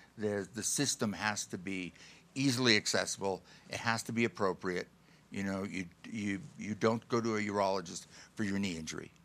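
This man has an ordinary speaking voice with an American accent. He talks at a fairly quick pace with a fairly low pitch. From Buffalo area, western New York. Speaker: mountain rescuer and outdoor therapy advocate. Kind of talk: interview conversation.

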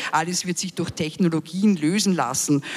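Pitched fairly low with normal rise and fall, a woman talks in a plain, everyday voice. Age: 50s. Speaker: community radio maker. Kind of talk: panel discussion. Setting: live stage panel broadcast on radio.

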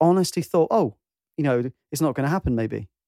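With a British accent, a man speaks at a fairly high pitch and with lively intonation, his tone dark and mellow. The sound is dry and close, with no echo. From UK. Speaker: podcast host and musician. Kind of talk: casual chat. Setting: video call. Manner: animated.

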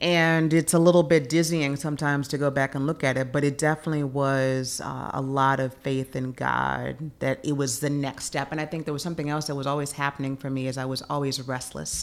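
Noticeable background noise sits behind a monotone, flat delivery at a fairly quick pace with hardly any pauses. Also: woman, very deep, low pitch for a woman. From Memphis, Tennessee (US South). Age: 40s. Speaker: event production consultant. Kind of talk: interview.

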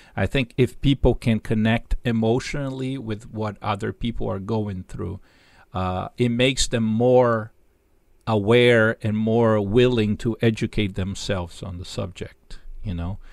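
Speaking at a fairly slow pace, a man with a Portuguese accent keeps a medium pitch and fairly even intonation. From Brazil, Sao Paulo. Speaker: jazz musician and professor. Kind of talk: interview. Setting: video call. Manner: halting.

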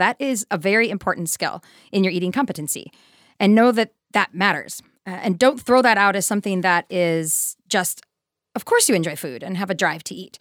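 A woman with an American accent and an ordinary speaking voice talks at medium pitch and a moderate pace with lively intonation. The very clean recording has a silent background and a dry, close sound with no echo. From US Midwest, Wisconsin. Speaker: nutrition director and dietitian. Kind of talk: casual interview conversation.

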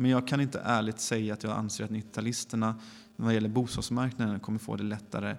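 At a fairly quick pace, a man with a medium pitch talks in a monotone, flat intonation. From Gothenburg, western Sweden. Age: 30s. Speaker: politician. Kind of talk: interview. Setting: parliament building basement room.

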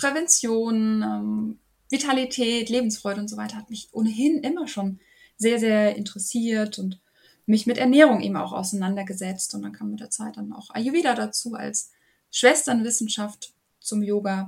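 A woman speaks at a moderate pace with a fairly high pitch. Her voice is somewhat breathy and swings widely in loudness. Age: 30s. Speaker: yoga and women's health coach. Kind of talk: interview.

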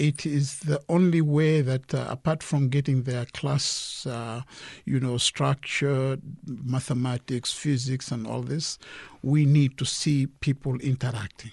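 A man speaks at a fairly slow pace in a medium pitch. His voice is somewhat breathy, with fairly even intonation. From Kenya. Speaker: director of a student exchange organization. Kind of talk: radio interview. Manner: halting, many fillers.

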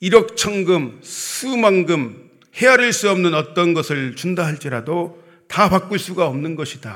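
There is a man with a high pitch speaking. He talks at a very slow pace. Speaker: preacher. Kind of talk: sermon. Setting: church.

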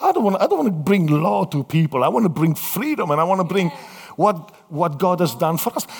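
This man has an Italian accent. His pitch is high. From Italy. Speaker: missionary pastor. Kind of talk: sermon. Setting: church with audience. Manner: animated; halting.

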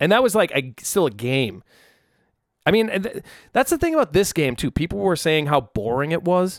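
A man's high-pitched voice makes very wide pitch swings. The recording is very clean and dry, with a close sound, no echo and a silent background. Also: moderate pace. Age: 30s. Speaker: musician and podcast host. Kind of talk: casual solo chat. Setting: alone in a room without headphones. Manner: relaxed, filler-heavy.

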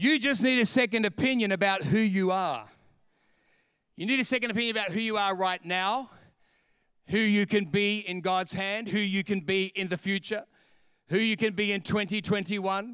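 In a very clean recording with a silent background, a man with an Australian accent speaks in a high pitch and an animated tone, with a bright, sharp quality, ordinary pitch variation, and long, frequent pauses. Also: moderate pace. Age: 50s. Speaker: pastor. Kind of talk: sermon.

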